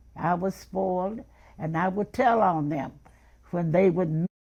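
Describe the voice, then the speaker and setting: A woman with a Memphis accent speaks at a fairly slow pace in a fairly low, dark and mellow voice with ordinary pitch variation. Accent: Southern US (Memphis). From US South, Memphis, Tennessee. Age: 80s+. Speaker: interviewee recounting her life. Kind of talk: personal life story interview.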